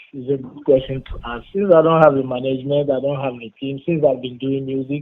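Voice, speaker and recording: Someone with a West African accent talks at a fairly quick pace, keeping the intonation fairly even while the loudness swings widely. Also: man, medium pitch for a man. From Benin. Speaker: rapper. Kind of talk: interview. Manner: halting.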